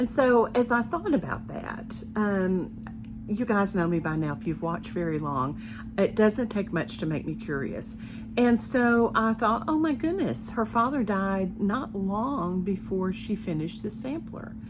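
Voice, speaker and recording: A Southern US accent with lively intonation at a fairly slow pace, with music in the background. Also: woman, medium pitch for a woman. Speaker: cross-stitch designer and video host. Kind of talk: casual vlog talk to viewers.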